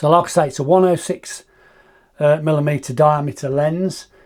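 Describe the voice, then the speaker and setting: A man with a British accent at fairly high pitch and moderate pace. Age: 50s. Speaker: astrophotography YouTuber. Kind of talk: product review. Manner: casual, some hesitations.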